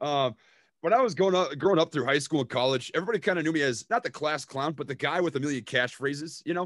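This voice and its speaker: A very fast male voice with a Minnesota accent, fairly high in pitch, with ordinary pitch variation and a dry, close sound with no echo. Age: 20s. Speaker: stock investor and YouTuber. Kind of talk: casual chat.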